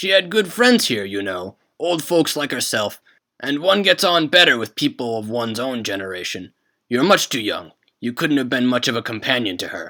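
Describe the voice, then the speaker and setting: In a put-on character voice at medium pitch, a man talks at a moderate pace with very wide pitch swings on a very clean recording with a silent background. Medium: read story. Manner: formal, polite.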